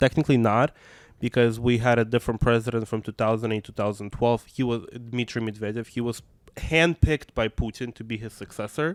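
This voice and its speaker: A man speaks with fairly even intonation. His loudness swings widely. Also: medium pitch for a man. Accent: Russian. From Russia, Moscow. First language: Russian. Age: 20s. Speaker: activist and arts educator. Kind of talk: interview. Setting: podcast. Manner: halting, many fillers.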